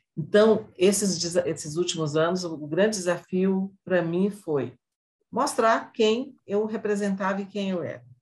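Somewhat breathy at medium pitch, a woman speaks fairly slowly with ordinary pitch variation. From Brazil, northern Minas Gerais. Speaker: civil engineer and construction industry association president. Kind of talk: interview.

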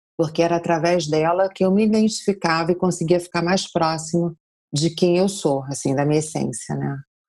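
This woman's voice sits fairly low, with a dark, mellow tone. Her intonation stays fairly even. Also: moderate pace. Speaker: yoga teacher. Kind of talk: interview.

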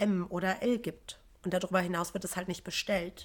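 A normal speaking voice delivered at a moderate pace. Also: woman. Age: 30s. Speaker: yoga and meditation teacher. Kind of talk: casual chat.

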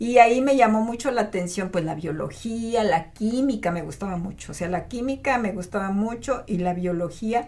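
Noticeable background noise surrounds a woman speaking at a moderate pace with hardly any pauses. Her pitch is fairly high, with ordinary variation. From Mexico, Matehuala, San Luis Potosí. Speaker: otolaryngologist. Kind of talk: interview.

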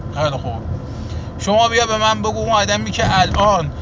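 A high-pitched man's voice over noticeable background noise. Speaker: political commentator. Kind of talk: monologue to camera. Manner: colloquial street speech.

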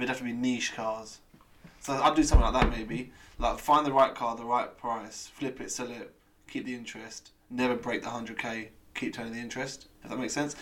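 A man at medium pitch and a fairly quick pace, big swings in loudness, noticeable background noise behind him. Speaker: podcast co-host. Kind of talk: casual chat.

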